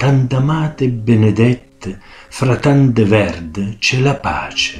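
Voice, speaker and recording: Here a man speaks with an Abruzzese accent. His pace is very slow. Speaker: poetry reciter. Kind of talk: dialect poetry reading.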